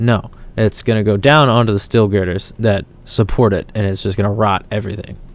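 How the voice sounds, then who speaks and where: Here a man talks at a fairly quick pace. His pitch is fairly low and his intonation fairly even. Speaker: podcast host. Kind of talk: solo commentary with read-aloud articles. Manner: halting. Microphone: new microphone.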